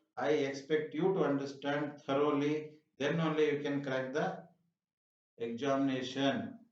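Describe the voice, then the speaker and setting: There is audible room echo as a man with a fairly high pitch speaks at a fairly slow pace with fairly even intonation. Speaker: math teacher. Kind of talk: tutorial.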